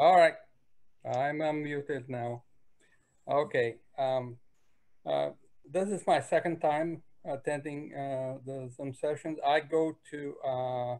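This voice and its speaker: Speaking at a very slow pace with long, frequent pauses, a man uses a fairly high pitch and fairly even intonation. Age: 60s. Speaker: church member at faith group meeting. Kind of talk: self-introduction in online meeting. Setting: video call. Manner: halting, many fillers.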